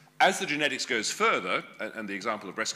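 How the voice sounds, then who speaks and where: A man talks with an Australian accent at a fairly quick pace. His tone is bright and sharp. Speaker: genetics professor. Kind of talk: lecture.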